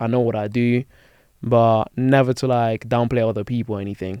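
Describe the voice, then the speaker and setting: Here a man talks at a fairly quick pace with a slight Spanish accent. His intonation is fairly even. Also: dry, close sound with no echo. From Spain. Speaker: basketball content creator. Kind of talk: casual chat. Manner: fast.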